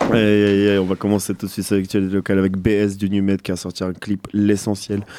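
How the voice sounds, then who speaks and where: A man's fairly low voice, dark and mellow in tone, at a moderate pace, with a dry, close sound and no echo. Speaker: radio host. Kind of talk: casual chat. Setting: studio. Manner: animated.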